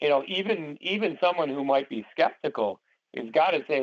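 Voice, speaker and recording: A man with vocal fry at a moderate pace. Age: 60s. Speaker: paranormal society co-founder and call host. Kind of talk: interview on conference call. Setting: conference call. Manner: many fillers and repetitions.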